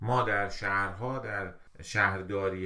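A bright, sharp tone with ordinary pitch variation and audible room echo. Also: man. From Iran, Mashhad. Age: 40s. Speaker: civil engineer. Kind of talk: casual chat. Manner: loud.

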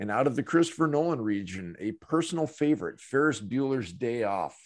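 A man with an unremarkable speaking voice and lively intonation at a fairly quick pace, on a very clean recording with a silent background. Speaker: questionnaire host and narrator. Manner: dry, joking.

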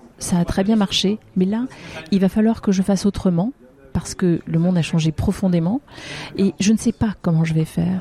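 A woman at medium pitch and moderate pace, with fairly even intonation, in a dry, close sound with no echo and noticeable background noise. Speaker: business executive. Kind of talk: interview. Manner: halting.

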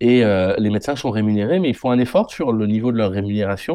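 Male speech at a moderate pace, the background quiet. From France, Haute-Vienne (Limousin). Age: 30s. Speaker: general practitioner. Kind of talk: interview. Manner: halting, repeats words.

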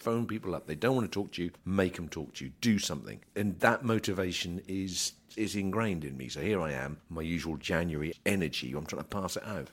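This man's voice is very deep and low, with vocal fry and lively intonation, moving at a fairly quick pace with hardly any pauses. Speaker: grain trader and podcast host. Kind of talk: market report and casual chat. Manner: fast.

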